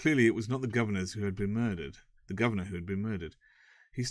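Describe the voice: With ordinary pitch variation, the clip offers plain reading aloud.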